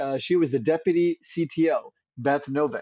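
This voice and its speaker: A man with an American accent, a normal speaking voice, speaks at a moderate pace with ordinary pitch variation. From Central California. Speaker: climate tech company founder. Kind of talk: interview.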